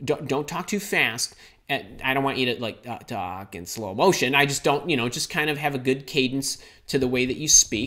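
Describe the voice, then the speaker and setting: With a Chicago accent, a man speaks at a medium pitch and a moderate pace in a bright, sharp, animated tone. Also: ordinary pitch variation. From US Midwest, Chicago. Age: 50s. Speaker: career coach. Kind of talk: live stream Q&A. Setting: live online stream.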